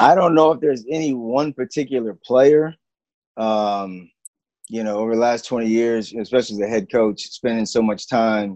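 In an American accent, a man speaks at a moderate pace and medium pitch with ordinary pitch variation, a normal speaking voice. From Texas, military kid raised on bases. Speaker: basketball coach. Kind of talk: casual chat.

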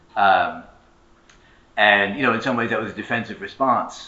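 With audible room echo, a man at a fairly low pitch talks at a fairly quick pace with fairly even intonation. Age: 30s. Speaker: historian and labor organizer. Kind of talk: conference panel talk.

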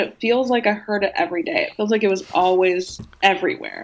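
With noticeable background noise behind it, the talking goes along at a fairly quick pace. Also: woman. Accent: American. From US Pacific Northwest, Portland suburb. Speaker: music journalist. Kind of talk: casual chat.

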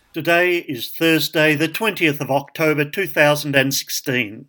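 The sound is dry and close with no echo, carrying a bright, sharp tone with ordinary pitch variation. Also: man. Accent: Australian. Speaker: podcast host. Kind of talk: podcast intro.

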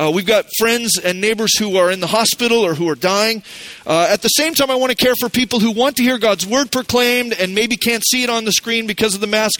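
Against noticeable background noise, a man with a high pitch speaks fairly quickly, his loudness very even and his pitch variation ordinary. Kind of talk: sermon. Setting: church. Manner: fast talker; explanatory, teaching tone.

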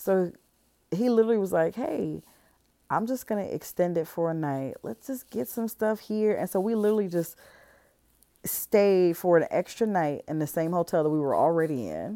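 An unremarkable speaking voice: a woman with an American accent, medium pitch, lively intonation and moderate pace. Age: 30s. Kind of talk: casual solo monologue.

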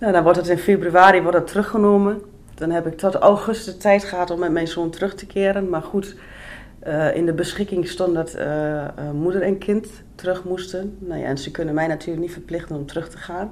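At a fairly quick pace, a woman speaks with fairly low pitch and fairly even intonation, her loudness swinging widely. Noticeable background noise runs beneath her. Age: 30s. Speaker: person on probation. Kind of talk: life story interview.

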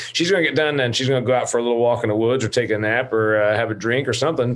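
Against noticeable background noise, a man talks at a very fast pace with a medium pitch and ordinary pitch variation. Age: 50s. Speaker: podcast host. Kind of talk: interview. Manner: animated.

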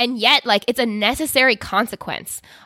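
This woman has a normal speaking voice. Her pace is moderate, and her pitch shifts in an ordinary way. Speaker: podcast host. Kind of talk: casual chat.

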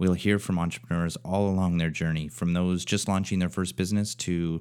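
With a very deep, low pitch, a man talks at a fairly quick pace and with fairly even intonation. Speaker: podcast host. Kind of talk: interview conversation.

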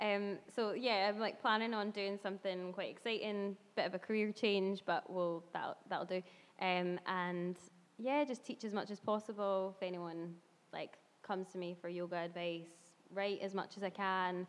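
A woman's normal speaking voice, medium in pitch, with fairly even intonation and a moderate pace. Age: 20s. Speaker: yoga instructor and blogger. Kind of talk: casual chat.

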